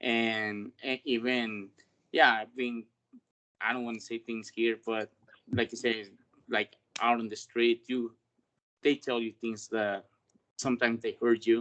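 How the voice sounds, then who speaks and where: With a Spanish accent, a man speaks at medium pitch in a monotone, flat way, at a fairly slow pace with long, frequent pauses, in a dry, close sound with no echo. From Mexico. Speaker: delivery worker. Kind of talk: panel discussion. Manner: halting.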